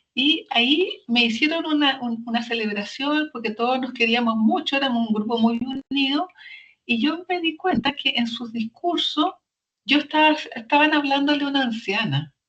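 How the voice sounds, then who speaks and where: A woman speaks at a high pitch with ordinary pitch variation and a moderate pace. Music plays in the background. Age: 70s. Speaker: social entrepreneur. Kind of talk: interview testimony. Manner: halting, many repetitions.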